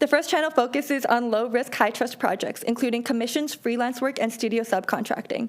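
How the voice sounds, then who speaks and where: Through noticeable background noise, a high-pitched woman talks at a fairly quick pace with hardly any pauses and fairly even intonation. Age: 20s. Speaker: animator and art entrepreneur. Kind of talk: business pitch. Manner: formal.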